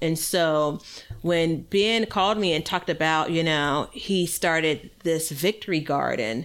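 The speaker has a normal speaking voice and moves at a fairly slow pace. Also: woman. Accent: American. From US Midwest. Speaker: podcast host and gardener. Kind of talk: casual chat, podcast.

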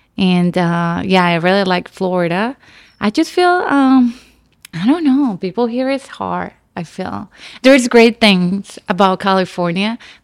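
The speaker has a Nicaraguan accent and a fairly slow pace. The recording is very clean, with a silent background. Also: woman, medium pitch for a woman, lively intonation. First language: Spanish. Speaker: actress. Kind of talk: casual chat. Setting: studio.

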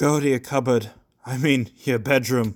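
At a moderate pace, the speaker talks in a put-on character voice. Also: man. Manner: gruff, forced, gasping.

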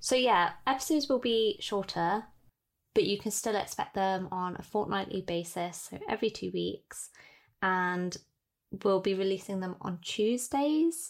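A woman with a plain, everyday voice, medium pitch and lively intonation, at a fairly slow pace, on a very clean recording with a silent background. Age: 20s. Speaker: podcast host, calligraphy business owner. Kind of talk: casual chat.

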